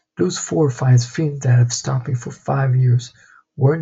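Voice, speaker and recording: A man's voice sits at a medium pitch and sounds somewhat breathy. He speaks at a moderate pace with ordinary pitch variation. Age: 20s. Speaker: vlogger, entrepreneur. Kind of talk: personal vlog monologue.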